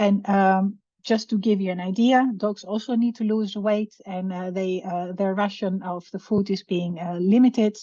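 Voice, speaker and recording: A woman of medium pitch speaks at a moderate pace with hardly any pauses and fairly even intonation. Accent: Greek. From Greece. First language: Greek. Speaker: veterinary professor, researcher. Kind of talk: webinar lecture. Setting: video call webinar. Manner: hesitant, many fillers.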